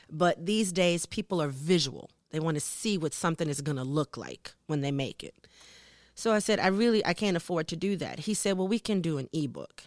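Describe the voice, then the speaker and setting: A fairly low-pitched woman in an American accent, an ordinary speaking voice with ordinary pitch variation, a fairly quick pace, and a dry, close sound with no echo. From US South, New Orleans. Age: 50s. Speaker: singer. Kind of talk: interview.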